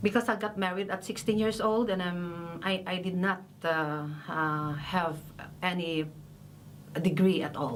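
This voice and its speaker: In a Filipino accent, a woman speaks at a fairly slow pace with long, frequent pauses, her medium pitch showing ordinary variation, and audible room echo in the recording. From Philippines. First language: Filipino language. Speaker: massacre widow, rights defender. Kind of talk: testimony. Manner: halting, hesitant.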